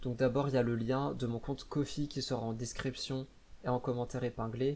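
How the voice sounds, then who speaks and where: Flat, monotone delivery from a man at medium pitch and a fairly quick pace. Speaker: VTuber, gaming YouTuber. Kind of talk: channel introduction video. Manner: stammering, searching for words.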